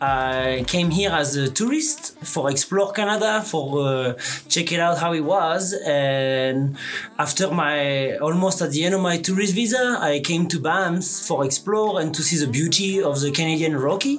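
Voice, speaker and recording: Lively intonation in a French accent at a moderate pace, very even loudness, and noticeable background noise. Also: man. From southern France. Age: 30s. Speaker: cook. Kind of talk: interview answer. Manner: casual.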